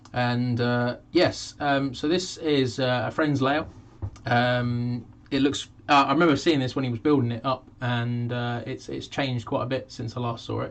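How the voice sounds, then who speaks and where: Fairly even intonation at a moderate pace. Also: man, medium pitch for a man. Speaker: model railway youtuber. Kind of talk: live stream chat. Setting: home live stream. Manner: hesitant with fillers.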